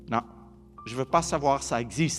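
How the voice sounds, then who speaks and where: The tone is calm. Music plays in the background. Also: man. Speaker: explorer. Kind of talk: public lecture to an audience. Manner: calm, reassuring.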